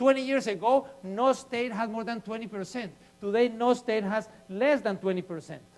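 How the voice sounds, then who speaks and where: Over noticeable background noise, a man with a non-native accent speaks in an animated tone at a high pitch. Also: ordinary pitch variation, moderate pace. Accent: noticeable foreign. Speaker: urban planning advocate, guest speaker. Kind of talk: public lecture.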